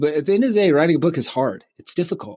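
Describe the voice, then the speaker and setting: With a slight Southern US accent, a man speaks in lively intonation. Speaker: author and publishing company CEO. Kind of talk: podcast interview. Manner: halting, many fillers.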